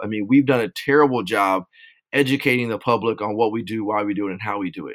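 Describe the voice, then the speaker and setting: On a very clean recording with a silent background, a man with an American accent speaks very fast. His pitch is medium and varies an ordinary amount. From Southern California (Rialto). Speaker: police officer and nonprofit founder. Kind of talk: interview.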